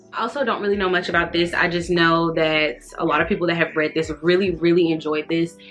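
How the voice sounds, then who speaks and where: A woman talks at a very fast pace with hardly any pauses, her pitch fairly low and her intonation fairly even. Music plays in the background. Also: very even loudness. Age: 30s. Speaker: book vlogger. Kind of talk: casual chat. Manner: halting.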